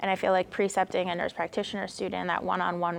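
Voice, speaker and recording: A woman's medium-pitched voice with an American accent, vocal fry and fairly even intonation. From Connecticut, New Haven. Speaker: nurse practitioner. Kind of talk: interview. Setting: at a conference.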